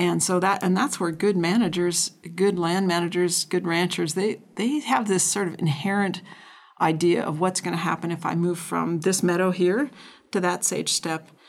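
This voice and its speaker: This is a plain, everyday voice with an American accent. It moves at a moderate pace with ordinary pitch variation. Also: woman, fairly low pitch for a woman. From North Dakota, US Upper Midwest. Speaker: rangeland scientist. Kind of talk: interview.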